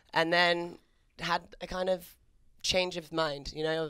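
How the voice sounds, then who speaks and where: This voice carries a British accent. The intonation is flat and monotone. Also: woman. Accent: British, still noticeable. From England, Maidenhead near London. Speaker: fitness entrepreneur. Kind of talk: casual chat. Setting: studio.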